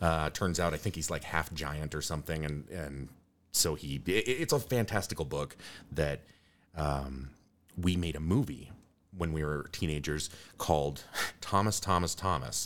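With vocal fry, a man speaks at a very deep, low pitch with ordinary pitch variation. His pace is moderate, broken by long, frequent pauses. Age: 40s. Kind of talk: casual conversational interview. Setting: studio, in person.

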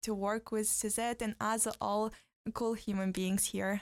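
The recording is very clean, with a silent background. A woman speaks at a fairly high pitch with flat, monotone intonation. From western Kazakhstan. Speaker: exchange fellow, civil society activist. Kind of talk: interview. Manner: halting, many fillers.

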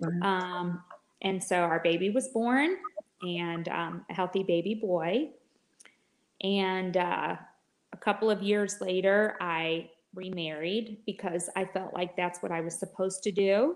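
A woman with a plain, everyday voice and an American accent speaks fairly slowly at a medium pitch, her intonation fairly even. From Michigan. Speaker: licensed counselor. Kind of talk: interview testimony.

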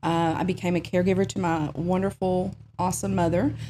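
A woman's fairly low voice with a dark, mellow tone and vocal fry. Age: 40s. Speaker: therapist. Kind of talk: interview.

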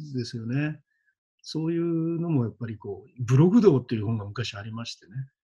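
Talking at a fairly quick pace, a man has a dark, mellow, somewhat breathy tone, lively intonation and big swings in loudness. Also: medium pitch for a man. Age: 50s. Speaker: schoolteacher and coach. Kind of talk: casual interview chat.

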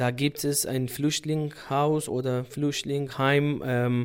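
On a very clean recording with a silent background, the speaker uses a Kurdish accent and monotone, flat intonation. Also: man. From Iraqi Kurdistan, Sulaymaniyah. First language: Kurdish (speaking German). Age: 30s. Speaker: doctor. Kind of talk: interview.

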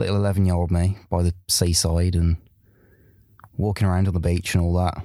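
On a very clean recording with a silent background, a man with a very deep, low pitch and a dark, mellow tone talks at a fairly quick pace in monotone, flat intonation, keeping his loudness very even and leaving long, frequent pauses. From Birmingham, England. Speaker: student radio station manager. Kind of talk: casual storytelling.

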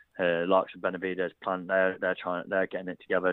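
A man in an East Midlands accent, very deep and low in pitch, at a fairly quick pace. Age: 20s. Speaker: professional boxer. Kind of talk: interview.

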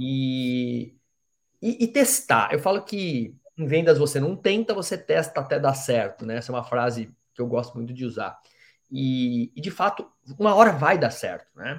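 This man has a fairly high, somewhat breathy voice with very wide pitch swings. He talks at a moderate pace on a very clean recording with a silent background. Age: 40s. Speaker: podcast host, sales trainer. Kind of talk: interview. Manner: animated.

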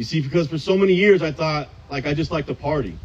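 There is ordinary pitch variation in this man's somewhat breathy speech. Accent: American. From Southern California. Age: 30s. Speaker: AA speaker. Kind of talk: recovery testimony. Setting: outdoors in a park, audience.

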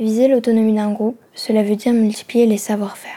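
A woman's fairly high, somewhat breathy voice with a dark, mellow tone and monotone, flat intonation, at a moderate pace. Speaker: student podcast reporter. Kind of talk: scripted narration.

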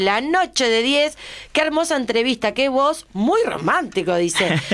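This woman talks at a moderate pace in a high pitch. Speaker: radio host. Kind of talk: casual radio interview. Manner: animated.

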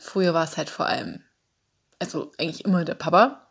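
On a very clean recording against a silent background, a woman talks at a medium pitch. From Saxony, Dresden. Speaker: flatmate of host. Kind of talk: personal account.

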